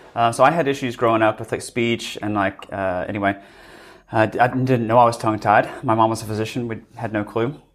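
A man with a normal speaking voice talks at medium pitch and a fairly quick pace with fairly even intonation. The recording is very clean, with a silent background. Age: 30s. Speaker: dentist. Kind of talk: casual chat. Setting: live event.

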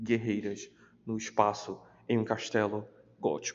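Flat and monotone, a man's medium-pitched voice moves at a very slow pace. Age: 20s. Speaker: podcast host, book reviewer. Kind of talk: casual solo podcast, book review.

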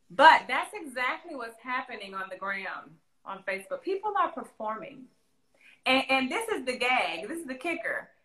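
With an American accent, a woman speaks in a raised, projected voice at a moderate pace and high pitch, with very wide pitch swings and big swings in loudness. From Central Florida. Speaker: singer-songwriter. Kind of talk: casual interview chat. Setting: video call.

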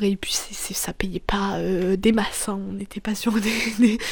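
The woman's intonation is monotone and flat. She barely varies her delivery. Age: 20s. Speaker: podcaster. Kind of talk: personal monologue. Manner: halting; casual.

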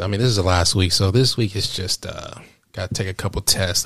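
Speaking at a fairly quick pace, a man with a very deep, low pitch keeps a calm, relaxed tone. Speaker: podcast co-host, college student. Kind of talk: casual chat between partners.

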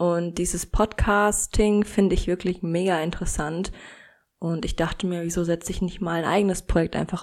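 Over a very clean recording with a silent background, a woman with an ordinary speaking voice talks at a fairly low pitch and moderate pace with fairly even intonation. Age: 20s. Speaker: true crime podcast host. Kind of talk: podcast trailer introduction. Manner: casual.

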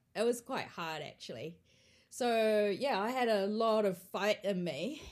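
The speaker has a New Zealand accent and a fairly slow pace. The recording is very clean, with a silent background. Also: woman, fairly high pitch for a woman, ordinary pitch variation. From Australia. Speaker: barista champion. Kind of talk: casual chat.

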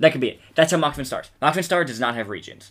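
The voice has a bright, sharp tone and an American accent. Its pitch varies in an ordinary way. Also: man. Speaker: podcast co-host. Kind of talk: casual chat.

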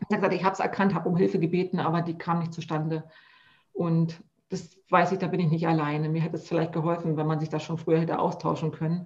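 A woman speaks at a very fast pace with a fairly low pitch. Her voice is somewhat breathy and her intonation monotone and flat. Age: 40s. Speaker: health coach. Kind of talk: casual chat.

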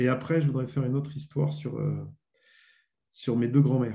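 A man's somewhat breathy, dark and mellow voice at a fairly quick pace, with audible room echo. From Burgundy, France. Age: 40s. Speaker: former sports journalist and author. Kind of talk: interview. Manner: hesitant, many fillers.

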